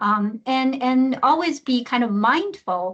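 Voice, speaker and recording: A woman with a Chinese accent against a quiet background. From China. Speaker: research program director, mentor. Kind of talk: webinar panel discussion. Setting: online webinar. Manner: halting, many fillers.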